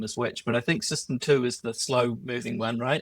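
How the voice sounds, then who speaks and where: Recorded with a dry, close sound and no echo, a man with a New Zealand accent speaks at a medium pitch and a moderate pace. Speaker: podcast host. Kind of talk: interview conversation.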